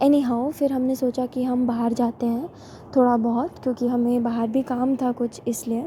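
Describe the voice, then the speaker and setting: The intonation is flat and monotone. It comes from a woman with a high voice. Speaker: vlogger. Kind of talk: vlog voice-over narration.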